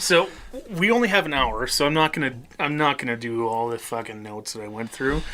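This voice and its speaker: Noticeable background noise sits under the speech. The delivery is fairly quick, with a Midwestern accent. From US Midwest. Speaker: podcast co-host and band musician. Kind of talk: casual chat.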